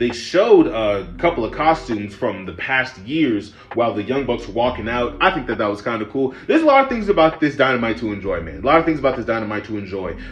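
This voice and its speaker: Very fast talking with lively intonation over noticeable background noise. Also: man, medium pitch for a man, hardly any pauses. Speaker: wrestling reviewer. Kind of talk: casual review rant. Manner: low energy; casual, profane.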